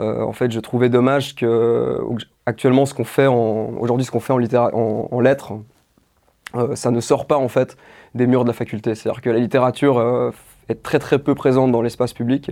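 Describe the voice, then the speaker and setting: In a dark, mellow tone, a man talks with monotone, flat intonation and long, frequent pauses. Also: medium pitch for a man, moderate pace. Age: 20s. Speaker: doctoral student in French literature and video maker. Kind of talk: interview. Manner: hesitant, many fillers and repetitions.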